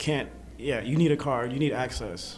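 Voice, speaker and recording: There is audible room echo and noticeable background noise around a man's voice. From Atlanta, US South (from fourth grade; born in Boston). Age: 20s. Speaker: photographer. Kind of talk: casual interview. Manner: casual, hesitant with fillers.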